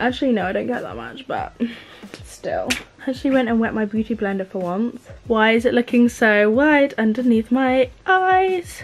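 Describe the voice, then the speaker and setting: A woman with an English accent at a moderate pace, light noise behind her. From England. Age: young. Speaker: beauty vlogger. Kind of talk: casual chat. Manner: animated. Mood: frustrated, self-mocking. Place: home room. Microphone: camera far.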